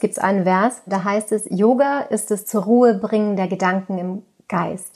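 A woman's plain, everyday voice, medium in pitch, with fairly even intonation. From Austria, Tyrol. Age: 30s. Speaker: yoga teacher with multiple sclerosis. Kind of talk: interview. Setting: remote call from childhood bedroom.

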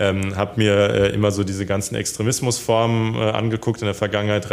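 Here a man talks at a moderate pace in a fairly low pitch. His intonation stays fairly even. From Hesse, Germany (Darmstadt). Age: 20s. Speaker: politician. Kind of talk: interview. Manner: hesitant, many fillers.

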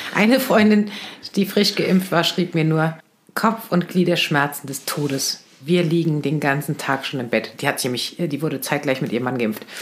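Over noticeable background noise, a woman with a very deep, low pitch speaks at a moderate pace with lively intonation. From Lower Saxony, near Hannover. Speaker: podcast co-host. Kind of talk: casual chat.

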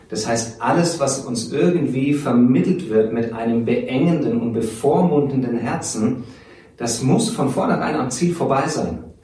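Over noticeable background noise and audible room echo, a man speaks at a fairly slow pace. His medium-pitched voice has lively intonation. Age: 40s. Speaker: theology teacher. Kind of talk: interview.

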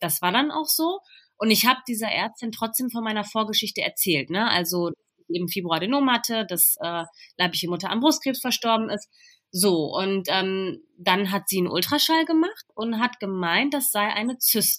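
This is an unremarkable speaking voice with lively intonation at a fairly quick pace. The recording is very clean, with a silent background. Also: woman. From Ruhr area, Germany (Bochum). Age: 20s. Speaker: trainee teacher, breast cancer survivor. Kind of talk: interview, personal illness story.

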